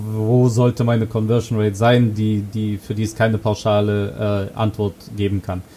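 With monotone, flat intonation, a man talks at a moderate pace in a dark, mellow tone at a medium pitch. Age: 20s. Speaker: conversion optimization consultant. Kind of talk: interview. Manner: hesitant with fillers.

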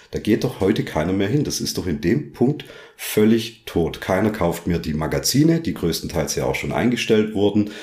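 Very wide pitch swings mark a man's fairly low voice as he talks at a moderate pace. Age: 30s. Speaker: powerlifter and guest interviewer. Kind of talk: casual interview.

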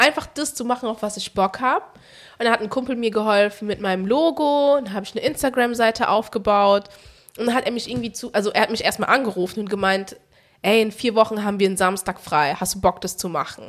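Her pace is very fast. This woman speaks at a fairly high pitch with ordinary pitch variation. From Germany, Frankfurt. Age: 20s. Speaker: podcast guest, engineer in insurance. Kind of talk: casual chat. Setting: studio. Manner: soft-spoken.

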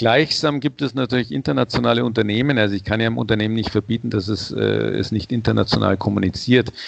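Talking at a very fast pace, a man leaves hardly any pauses. His pitch is fairly low, with ordinary variation. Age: 60s. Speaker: head of a sustainability brand certification organization. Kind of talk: interview.

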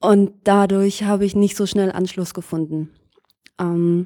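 A woman's dark, mellow voice at a medium pitch, fairly slow in pace, with fairly even intonation. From Lower Saxony, Germany. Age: 20s. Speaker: student teacher. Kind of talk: interview.

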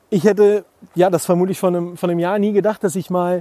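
With a dry, close sound and no echo, a man speaks at a high pitch with fairly even intonation. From Germany, rural village. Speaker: podcast host, founder and former radio presenter. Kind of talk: solo podcast monologue. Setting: outdoors in a forest. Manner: casual, many filler words.

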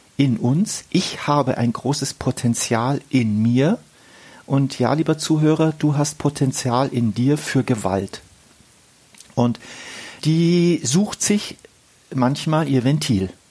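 Long, frequent pauses break up a very slow delivery while noticeable background noise continues. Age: 50s. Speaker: relationship counsellor and podcast host. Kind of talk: conversational discussion. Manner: halting, with many fillers.

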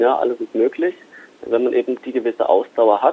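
A man at a fairly quick pace. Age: 20s. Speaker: private stock trader, IT worker. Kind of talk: interview. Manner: hesitant with fillers.

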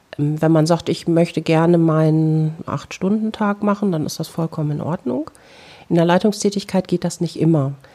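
A woman speaks at a moderate pace in a fairly low pitch with a dark, mellow tone. Her intonation is fairly even, and the recording is very clean with a silent background. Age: 40s. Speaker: psychotherapist. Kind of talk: interview monologue.

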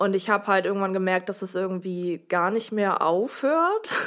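In a very clean recording with a silent background, a woman with an unremarkable speaking voice talks at a fairly slow pace and a medium pitch. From northern Germany (Oldenburg). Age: 20s. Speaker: interview guest sharing personal story. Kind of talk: personal testimony in interview.

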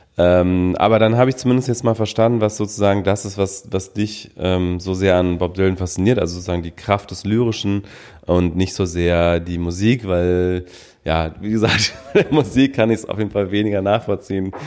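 On a very clean recording with a silent background, a man with a plain, everyday voice talks at a moderate pace, fairly low in pitch, with fairly even intonation. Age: 30s. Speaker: podcast co-host. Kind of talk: casual chat. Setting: living room at home.

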